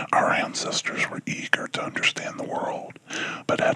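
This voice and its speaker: Over noticeable background noise, a man whispers at a moderate pace. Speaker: ASMR whisperer. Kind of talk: ASMR book reading. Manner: whispered, soft-spoken.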